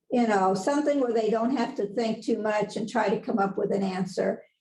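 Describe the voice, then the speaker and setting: A woman's somewhat breathy, dark, mellow voice, fairly high in pitch, with ordinary pitch variation and a moderate pace. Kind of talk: lecture. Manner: casual, conversational with fillers.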